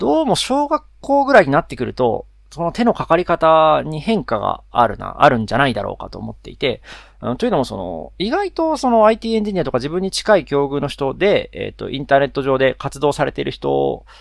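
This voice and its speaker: Fairly quick man's voice in a very clean recording against a silent background. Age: 30s. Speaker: podcast host, engineer. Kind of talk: casual solo talk.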